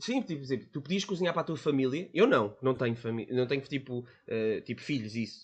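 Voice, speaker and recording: With a European Portuguese accent, a man speaks with lively intonation against a quiet background. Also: medium pitch for a man, fairly quick pace, hardly any pauses. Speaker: podcast guest. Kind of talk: casual chat.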